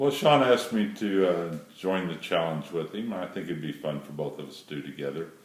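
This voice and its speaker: Over noticeable background noise, a man with a very deep, low pitch talks at a fairly quick pace with hardly any pauses, lively intonation, and big swings in loudness. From moved around as military child. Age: 60s. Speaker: retired airline pilot. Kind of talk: audition video.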